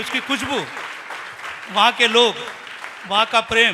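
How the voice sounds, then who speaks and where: Crowd noise fills the background. A man talks in a raised, projected voice. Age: 60s. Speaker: businessman, devotee. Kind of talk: speech.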